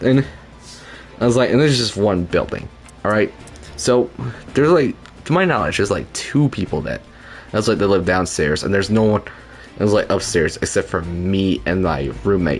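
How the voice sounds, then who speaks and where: Over background music, a man talks quietly at a fairly quick pace in a fairly low pitch, with lively intonation and long, frequent pauses. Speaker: video game streamer. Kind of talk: casual live-stream gameplay commentary. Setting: home apartment at midnight. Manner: quiet, keeping voice down for roommate.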